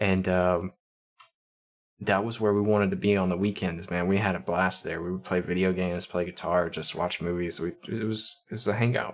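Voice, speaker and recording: Very deep, low male voice, fairly even in intonation. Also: moderate pace. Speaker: streamer. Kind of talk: casual chat. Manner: monotone.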